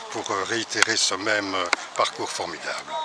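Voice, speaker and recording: A man at a moderate pace amid noticeable background noise. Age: 60s. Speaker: retired cyclist. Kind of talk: casual interview.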